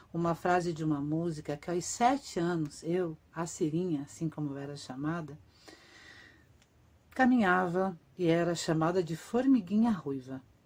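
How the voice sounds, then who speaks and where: This woman's voice sits at a very deep, low pitch. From Brazil, Curitiba (Paraná). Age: 50s. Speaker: actress and writer. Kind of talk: autobiographical reading of a written text.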